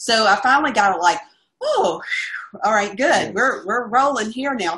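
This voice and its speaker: A woman's normal speaking voice, fairly high in pitch, at a moderate pace with lively intonation. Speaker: caregiver. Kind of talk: interview answer.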